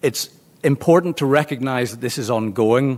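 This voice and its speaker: This man has a medium-pitched voice with a slight Belfast accent. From Northern Ireland, Belfast. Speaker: law lecturer. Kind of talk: lecture. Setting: seminar room with audience. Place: meeting room.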